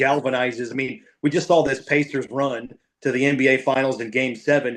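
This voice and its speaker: A plain, everyday voice from a man at medium pitch, fairly quick and with fairly even intonation. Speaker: NFL radio play-by-play broadcaster. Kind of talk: podcast interview answer. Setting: podcast conversation.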